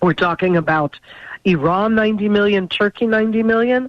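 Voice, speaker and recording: With an ordinary speaking voice and lively intonation, a woman talks at a moderate pace. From Israel, raised there from childhood by immigrant parents. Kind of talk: radio interview.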